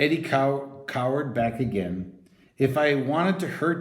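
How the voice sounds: Ordinary pitch variation runs through a natural reading voice in this clip.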